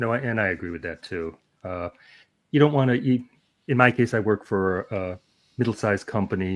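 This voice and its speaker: Speaking at a moderate pace with long, frequent pauses, a man uses a fairly low voice. His pitch varies in an ordinary way while his loudness swings widely. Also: quiet background. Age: 60s. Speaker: YouTuber and interviewer. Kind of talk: casual chat.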